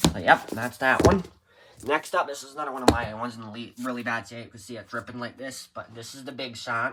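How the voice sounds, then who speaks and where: A man's medium-pitched voice at a very fast pace, with ordinary pitch variation and big swings in loudness. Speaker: book collector showing his collection. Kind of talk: casual show-and-tell video. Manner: hurried.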